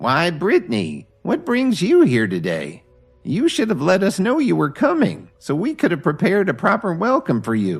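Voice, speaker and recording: Over faint music in the background, a man performs a put-on character voice pitched high for a man. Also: moderate pace. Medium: read story. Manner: stern, authoritative.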